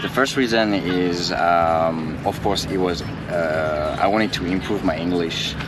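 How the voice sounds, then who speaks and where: A man with a French accent and a very deep, low pitch, talking at a fairly slow pace with hardly any pauses over noticeable background noise. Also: ordinary pitch variation. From France. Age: 20s. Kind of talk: interview answer. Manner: polite.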